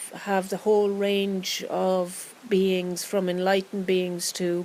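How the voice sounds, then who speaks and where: Talking in a calm tone, a woman has an Irish accent. Her intonation stays monotone and flat. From Ireland. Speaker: meditation guide. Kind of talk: guided meditation. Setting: outdoors. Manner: slow, calm.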